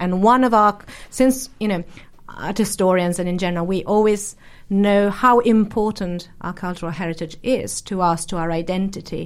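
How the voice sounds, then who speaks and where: Recorded very cleanly against a silent background, a woman with an Italian accent speaks at a moderate pace. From Brescia, northern Italy. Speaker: art historian. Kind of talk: panel discussion.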